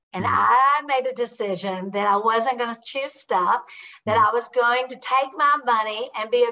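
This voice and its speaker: A woman with a Southern US accent talks at a moderate pace in a fairly high pitch. Her tone is bright and sharp, with ordinary pitch variation. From Kentucky. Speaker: author and real estate investor. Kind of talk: podcast interview.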